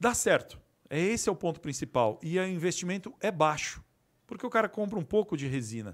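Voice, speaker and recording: A man talks at a fairly quick pace with very wide pitch swings on a very clean recording with a silent background. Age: 50s. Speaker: resin artisan and manufacturer. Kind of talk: casual interview.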